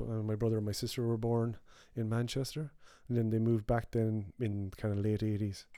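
Someone speaks with an Irish accent at a fairly quick pace. The intonation is fairly even. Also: man, very clean recording, silent background. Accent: Mayo Irish. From Mayo, west of Ireland. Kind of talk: casual chat.

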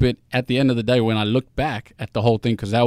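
A man speaks at a very fast pace with medium pitch. The sound is dry and close with no echo. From South Africa, Johannesburg. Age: 20s. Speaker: singer-songwriter. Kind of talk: interview. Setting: studio.

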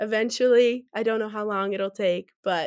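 Speaking in an American accent at a moderate pace and medium pitch, a woman has an unremarkable speaking voice against a quiet background. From Wisconsin, near Madison. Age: 20s. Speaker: college student and food blogger. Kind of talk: interview.

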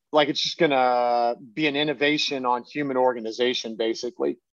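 Using a plain, everyday voice, a man speaks at a fairly quick pace in a medium pitch with fairly even intonation and a dry, close sound with no echo. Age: 30s. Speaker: crypto fund manager. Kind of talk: interview.

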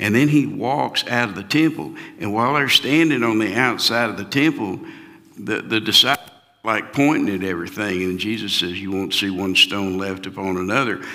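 A man speaks with a fairly low pitch and lively intonation. There is noticeable background noise. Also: moderate pace. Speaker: pastor. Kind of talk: round table Bible discussion. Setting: church.

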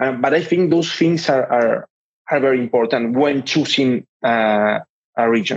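A man's medium-pitched voice at a moderate pace with ordinary pitch variation. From Argentina. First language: Spanish. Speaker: outsourcing company co-founder. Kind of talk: interview.

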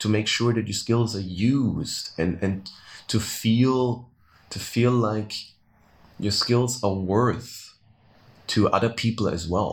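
Pausing long and often, a man speaks at a very slow pace and medium pitch, with fairly even intonation and a somewhat breathy sound. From Austria, Vienna. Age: 30s. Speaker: tour guide. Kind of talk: interview.

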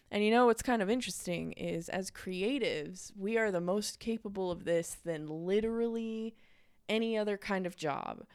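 A woman with an unremarkable speaking voice, medium pitch, ordinary pitch variation and a moderate pace, on a very clean recording with a silent background. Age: 20s. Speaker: podcast host and graphic designer. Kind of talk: casual solo podcast talk. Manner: chatty, filler-heavy.

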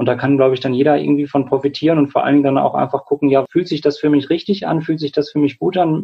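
Very fast and somewhat breathy, a man speaks at a fairly high pitch. His intonation is fairly even. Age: 20s. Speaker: clinical psychologist and climate activist. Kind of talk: interview.

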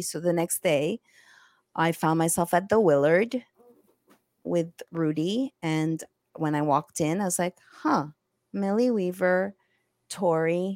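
A woman with a French accent speaks at a fairly low pitch and fairly slow pace, with ordinary pitch variation. The sound is dry and close with no echo, in a very clean recording with a silent background. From Egyptian-Greek heritage, French-speaking background. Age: 40s. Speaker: investigative journalist. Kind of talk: interview. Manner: animated.

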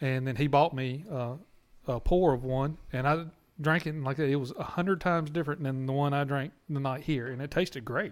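A man with a Southern US accent talks at a fairly quick pace. His pitch is fairly high and his intonation fairly even. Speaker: podcast host. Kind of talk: casual drinking chat.

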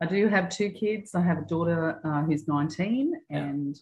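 A woman with an Australian accent speaks at a fairly slow pace in a very deep, low pitch. Her voice is somewhat breathy, with lively intonation. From Australia, Newcastle NSW. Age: 50s. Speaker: gym member. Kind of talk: casual interview. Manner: hesitant, many fillers.

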